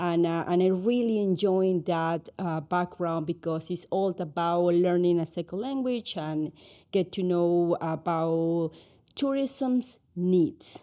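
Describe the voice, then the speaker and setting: Speaking very slowly against a quiet background, a woman with a Spanish accent has a fairly low pitch and a dark, mellow tone. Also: ordinary pitch variation. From Ecuador. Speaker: Spanish teacher and tourism business owner. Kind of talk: podcast interview. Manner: halting.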